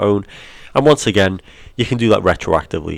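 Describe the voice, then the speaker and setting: A man with an English accent talks at a fairly quick pace on a very clean recording with a silent background. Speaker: film studies teacher. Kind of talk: educational lesson narration over slides.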